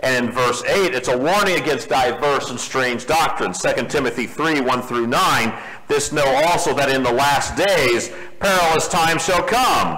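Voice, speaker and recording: Noticeable background noise accompanies a man speaking at a moderate pace with a fairly high pitch and ordinary pitch variation. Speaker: preacher. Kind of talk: sermon. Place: church.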